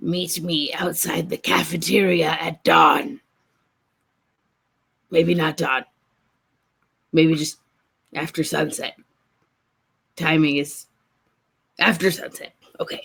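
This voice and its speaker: A man's whispering, raspy put-on character voice, theatrical in tone, at a fairly slow pace. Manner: stage whisper, loud and theatrical.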